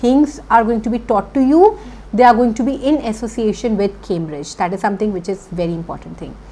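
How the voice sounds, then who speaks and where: A woman with a Punjabi accent, a fairly high pitch and lively intonation. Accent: Indian English, Punjabi. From India, Punjab (Chandigarh). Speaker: IELTS teacher. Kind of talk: online lecture.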